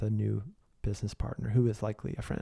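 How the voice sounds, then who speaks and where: Very fast and monotone, a man speaks with flat intonation in a fairly low voice with a dark, mellow tone. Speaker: podcast host and business coach. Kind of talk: solo podcast monologue. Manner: casual with many fillers.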